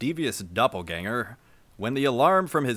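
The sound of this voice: Someone reads in an unforced reading voice with lively intonation.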